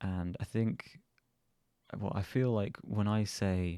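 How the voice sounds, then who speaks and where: The man has a southern English accent and a dark, mellow tone. His intonation stays fairly even on a very clean recording with a silent background. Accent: southern English, a bit posh. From southern England. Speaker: vlogger. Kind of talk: casual chat. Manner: casual, hesitant with fillers.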